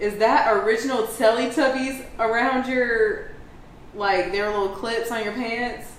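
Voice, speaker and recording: Against noticeable background noise and audible room echo, a woman speaks at a fairly slow pace, fairly high in pitch, with fairly even intonation. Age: 30s. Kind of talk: casual chat. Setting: at the beach.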